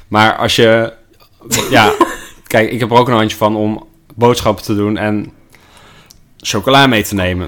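A man with a fairly low pitch talks at a fairly slow pace with fairly even intonation. Long, frequent pauses break up his speech over noticeable background noise. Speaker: sales employee, host's partner. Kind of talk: casual chat. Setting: at home in quarantine. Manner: halting, many repetitions and fillers.

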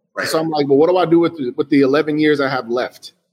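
With a normal speaking voice, a man with a fairly high pitch talks at a moderate pace and with fairly even intonation. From Chicago, US. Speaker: designer and entrepreneur. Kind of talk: interview.

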